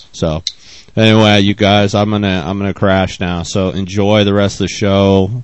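A man at a moderate pace, fairly low-pitched, with monotone, flat intonation. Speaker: podcast co-host. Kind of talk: casual chat.

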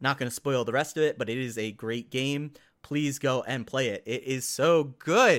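A man with a plain, everyday voice speaks at medium pitch and a moderate pace on a very clean recording with a silent background. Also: fairly even intonation. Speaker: podcast host. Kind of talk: casual solo podcast. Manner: casual, chatty.

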